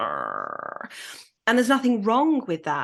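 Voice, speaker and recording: Speaking fairly slowly, a woman with a Yorkshire accent swings her pitch very widely. The background is quiet. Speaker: podcast host. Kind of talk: casual chat.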